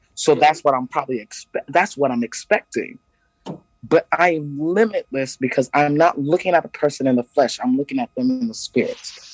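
With an unremarkable speaking voice, a man talks at a fairly high pitch and fairly quick pace, his intonation lively and the sound dry and close with no echo. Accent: American. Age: 40s. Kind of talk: casual chat. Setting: remote call from Ghana at night.

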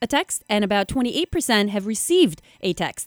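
Music plays in the background as a woman speaks at a fairly high pitch with lively intonation. Her voice sounds dry and close, with no echo. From Macedonia. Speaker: podcast host, sex researcher, professor. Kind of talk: interview.

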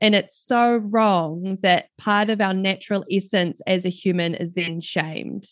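Against a quiet background, a woman with a New Zealand accent speaks at a fairly slow pace with fairly even intonation and hardly any pauses. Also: medium pitch for a woman. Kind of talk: casual interview chat. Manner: warm, laughs often.

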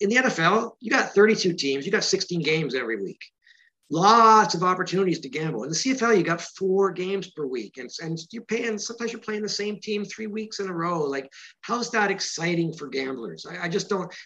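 In a Canadian accent, a man with a high voice projects loudly, his tone bright and sharp and his intonation lively. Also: moderate pace. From Canada. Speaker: author of a football book. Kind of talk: interview.

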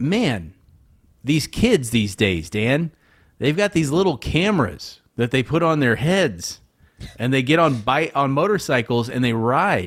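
On a very clean recording with a silent background, a man at medium pitch speaks fairly slowly in an animated tone, his pitch swinging very widely. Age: 30s. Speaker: comedy podcast co-host. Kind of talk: casual chat.

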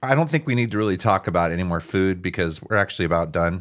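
A man talks at a very fast pace. His pitch shows ordinary variation. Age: 30s. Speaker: podcast host and rock musician. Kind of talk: casual chat. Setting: studio. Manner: animated.

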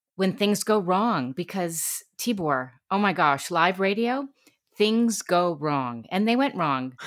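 A very slow delivery in a US Northeastern accent, with lively intonation. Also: woman. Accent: US Northeast. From New York City and Connecticut. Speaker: radio talk show host and voiceover artist. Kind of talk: interview. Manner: animated.

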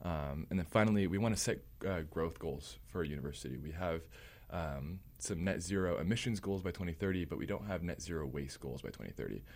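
A very deep, low male voice with vocal fry, fairly quick in pace, with ordinary pitch variation. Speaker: student government candidate. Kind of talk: interview.

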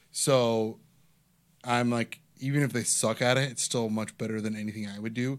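At a moderate pace and medium pitch, a man with an American accent speaks with monotone, flat intonation. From Ohio. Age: 30s. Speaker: stand-up comedian and podcast host. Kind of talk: casual chat.

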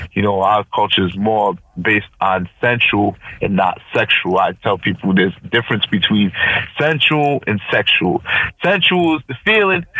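In an unremarkable speaking voice, a man with an American accent talks at a moderate pace, his fairly low pitch carrying lively intonation. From Providence, Rhode Island, US. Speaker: DJ. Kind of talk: interview.

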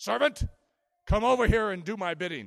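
A man puts on a character voice pitched high. He keeps to a moderate pace. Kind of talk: commanding, imperious.

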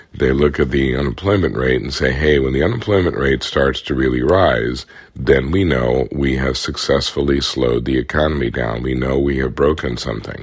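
Against noticeable background noise, a man with a very deep, low pitch talks at a moderate pace with ordinary pitch variation. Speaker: economist podcast host. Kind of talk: solo explainer podcast. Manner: conversational.

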